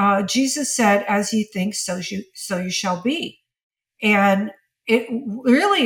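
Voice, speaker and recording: Somewhat breathy speech with ordinary pitch variation comes through on a very clean recording against a silent background. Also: woman. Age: 70s. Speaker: image consultant and stylist. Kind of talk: casual chat.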